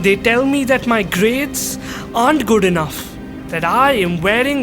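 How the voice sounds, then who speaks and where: A man's pitch varies in an ordinary way while music plays behind him. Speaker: spoken word poet. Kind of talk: spoken word poetry performance.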